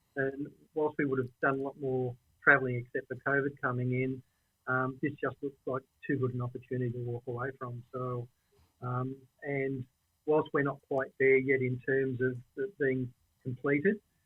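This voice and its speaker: A man with an Australian accent, medium-pitched and monotone, at a moderate pace broken by long, frequent pauses. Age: 60s. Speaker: property investor and franchise owner. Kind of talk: casual interview chat.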